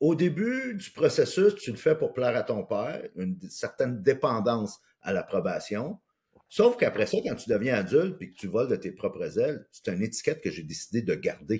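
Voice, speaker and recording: A man speaks with a Quebec accent at a moderate pace. His loudness swings a lot. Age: 60s. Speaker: life coach and speaker. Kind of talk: personal testimony in interview.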